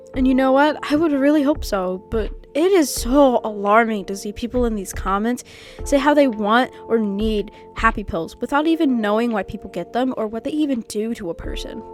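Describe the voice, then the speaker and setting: Lively intonation carries over music playing in the background. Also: woman, fairly high pitch for a woman. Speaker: video essayist. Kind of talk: video essay commentary. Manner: fast.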